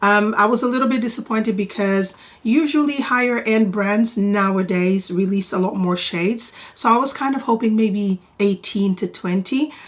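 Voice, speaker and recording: With a somewhat breathy, fairly high voice, a woman speaks at a moderate pace with ordinary pitch variation. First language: Portuguese. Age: 40s. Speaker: beauty vlogger. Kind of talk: product review vlog. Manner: casual, chatty.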